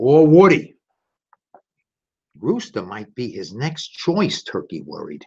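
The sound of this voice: Speaking at a slow pace, a man has a medium pitch, a slightly mellow tone and a slightly husky edge.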